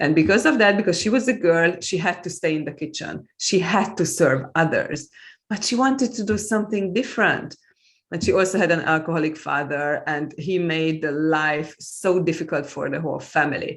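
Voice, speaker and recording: On a very clean recording with a silent background, a woman speaks at a moderate pace. Her fairly low voice carries lively intonation and a Hungarian accent. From Hungary. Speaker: author and EFT practitioner. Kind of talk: interview conversation.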